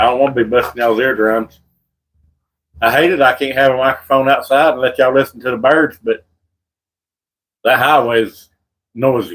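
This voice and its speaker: Medium in pitch, a man with a Southern US accent talks at a fairly quick pace with fairly even intonation and long, frequent pauses. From North Carolina. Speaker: birdwatching livestreamer. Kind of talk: casual live stream chat.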